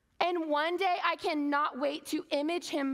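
A high-pitched woman with an animated tone over a quiet background. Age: 30s. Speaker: conference speaker. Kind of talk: sermon. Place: stage.

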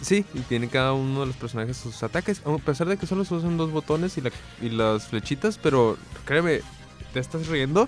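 Fairly quick speech with lively intonation comes through dry with no echo, faint music playing in the background. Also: man, fairly high pitch for a man. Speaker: radio co-host. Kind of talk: radio talk show. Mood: relaxed, amused. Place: studio. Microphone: studio mic.

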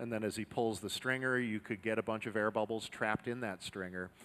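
Fairly even intonation shapes the man's speech. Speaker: demo team narrator. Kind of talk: live demonstration commentary. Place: workshop. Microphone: headset.

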